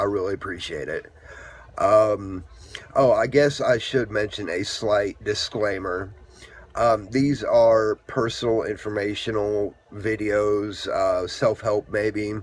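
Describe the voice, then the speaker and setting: Against noticeable background noise, a man talks very slowly at a fairly low pitch with fairly even intonation. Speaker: vlogger with epilepsy. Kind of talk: casual vlog talk. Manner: hesitant, many fillers.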